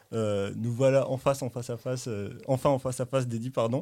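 This man has an ordinary speaking voice and a medium pitch. His intonation is fairly even. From Morocco. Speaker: podcast host. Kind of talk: casual chat.

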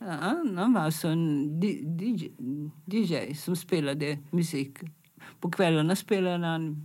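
A woman's fairly low voice with a dark, mellow tone, ordinary pitch variation and a very slow pace. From Italy, Milan. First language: Italian (speaking Swedish). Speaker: fashion designer. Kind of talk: interview. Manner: halting.

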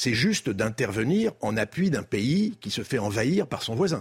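A man with a medium pitch sounds somewhat breathy, his pitch swinging very widely. The recording is very clean, with a silent background. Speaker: former diplomat. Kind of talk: TV debate.

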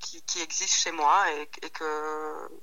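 The woman talks at a very slow pace. Noticeable background noise sits behind her. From Belgium, Centre region (Hainaut). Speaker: pasta maker and lecturer. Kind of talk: casual interview. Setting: phone call. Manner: halting, many repetitions.

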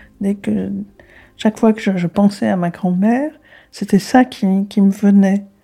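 A woman with a dark, mellow tone speaks at a fairly slow pace and a medium pitch, somewhat breathy, with fairly even intonation and long, frequent pauses. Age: 80s+. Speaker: granddaughter of a deportee. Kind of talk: interview. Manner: halting.

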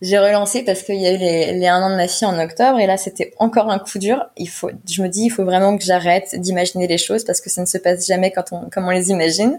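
Talking at a very fast pace with hardly any pauses, a woman keeps a medium pitch and fairly even intonation. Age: 20s. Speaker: single mother sharing her story. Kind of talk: personal testimony interview. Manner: halting.

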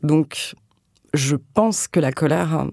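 This woman's voice is very deep and low, dark and mellow in tone. Her pitch varies in an ordinary way. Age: 30s. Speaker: writer. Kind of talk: interview. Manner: halting.

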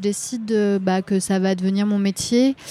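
The woman's tone is dark and mellow, and her intonation stays fairly even. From Brittany, Rennes area. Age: 30s. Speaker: singer and slam poet. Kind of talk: interview. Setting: Parisian café.

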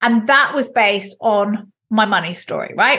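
With a very clean recording and a silent background, the raised, projected voice has a bright, sharp tone and an English accent. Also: woman. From England. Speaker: entrepreneur. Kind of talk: interview.

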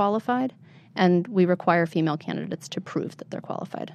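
An unremarkable speaking voice with an American accent carries ordinary pitch variation. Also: woman. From central Pennsylvania. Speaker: political candidate and activist. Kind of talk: interview.

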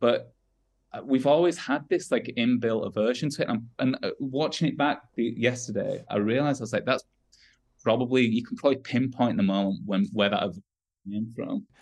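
This man speaks at a moderate pace and medium pitch with a Yorkshire accent. His pitch varies normally, and the background is quiet. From northern England, Wakefield, West Yorkshire. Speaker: rock musician. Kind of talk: casual chat.

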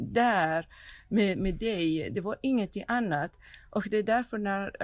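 A woman's lively-sounding voice in a very clean recording with a silent background. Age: 50s. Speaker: documentary filmmaker. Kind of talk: interview. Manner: halting.

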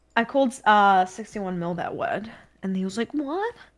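With a slight New Zealand accent, a woman speaks in a fairly high pitch using lively intonation. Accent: mild New Zealand. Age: 20s. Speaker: video game streamer. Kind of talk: casual chat. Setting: video call.

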